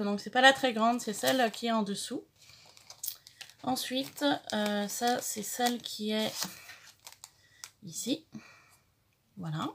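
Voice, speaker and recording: A woman speaks very slowly in a fairly high voice with ordinary pitch variation. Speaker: craft youtuber. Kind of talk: tutorial. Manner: halting, many fillers.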